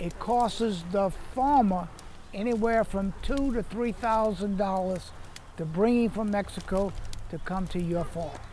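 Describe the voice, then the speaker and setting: A man speaks at a fairly slow pace in a south Louisiana accent, his pitch high with ordinary variation. Audible room echo and noticeable background noise surround his voice. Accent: south Louisiana Southern US. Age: 80s+. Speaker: citrus farmer. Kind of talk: interview.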